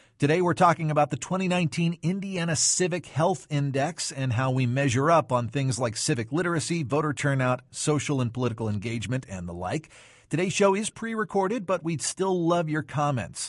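A somewhat breathy man talks at a fairly quick pace with lively intonation and hardly any pauses against a quiet background. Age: 30s. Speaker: radio host. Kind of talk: radio interview.

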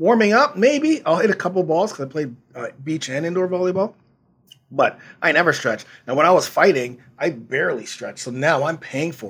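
A man with a high voice speaks in an animated way, his pitch swinging very widely. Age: 50s. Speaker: fitness podcast host and trainer. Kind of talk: casual interview chat.

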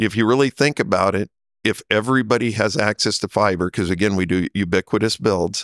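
Speaking at a moderate pace with a Midwestern US accent, a man uses a fairly low pitch with ordinary variation, recorded dry and close with no echo. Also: very clean recording, silent background. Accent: US Midwest. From Nebraska. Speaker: telecom company CEO. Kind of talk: interview. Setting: conference in Las Vegas.

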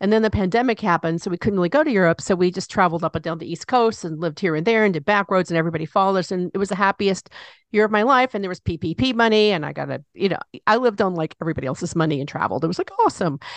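Against a quiet background, a woman at medium pitch talks very fast in an animated tone, the sound dry and close with no echo. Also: ordinary pitch variation. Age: 60s. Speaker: radio talk show host. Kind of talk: interview. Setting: studio.

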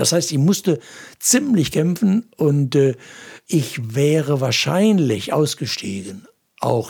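Somewhat breathy, a man talks with lively intonation. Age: 70s. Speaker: pastor and evangelist. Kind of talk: interview.

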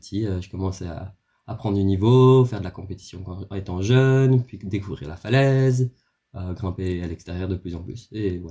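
A man talks in a very deep, low pitch with a dark, mellow tone, somewhat breathy, with ordinary pitch variation and big swings in loudness. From Belgium, Brussels. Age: 20s. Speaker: climber. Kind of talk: casual interview. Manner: hesitant, many repetitions.

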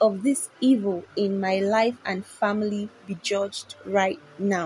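A woman's somewhat breathy voice. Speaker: prayer leader. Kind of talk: devotional exhortation leading prayer, then fervent prayer. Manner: fervent, commanding, imploring; rhythmic, repeats lines for the listener to echo.

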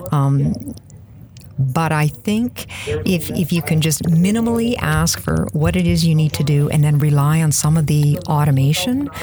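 Noticeable background noise sits under a woman's very deep, low voice. She speaks in a Canadian prairie accent at a fairly slow pace. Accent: Canadian prairie, noticeable 'out'. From Saskatchewan, Canada. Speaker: Microsoft MVP, SharePoint consultant. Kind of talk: casual interview.

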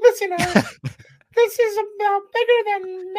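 In a put-on character voice of extremely high pitch, the speaker proceeds at a moderate pace.

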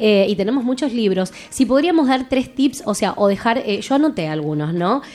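A woman at a fairly high pitch with very wide pitch swings, a moderate pace and hardly any pauses, over noticeable background noise. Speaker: radio host. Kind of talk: casual chat.

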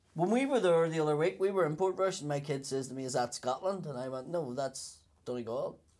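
In a very clean recording with a silent background, a man with a Belfast accent talks very fast at a fairly high pitch with lively intonation. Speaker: comedian. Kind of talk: casual chat.

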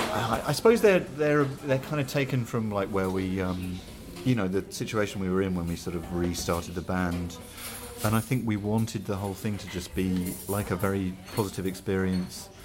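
With a southern English accent, the speaker moves at a moderate pace with ordinary pitch variation amid noticeable background noise. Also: man, fairly low pitch for a man. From Hertfordshire, southern England. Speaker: band drummer. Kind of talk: casual interview chat. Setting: coffee shop at a festival. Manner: hesitant, many fillers.

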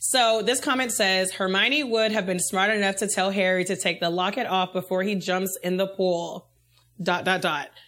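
A woman speaks at medium pitch in an ordinary speaking voice, at a moderate pace, with ordinary pitch variation and very even loudness. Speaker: podcast host. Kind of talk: casual chat.

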